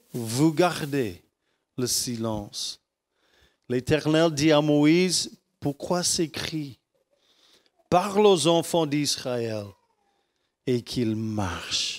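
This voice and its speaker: Very slow speech from a man with a fairly high pitch, broken by long, frequent pauses. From United States. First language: English (speaking French). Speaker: pastor. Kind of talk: sermon. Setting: church. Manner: halting.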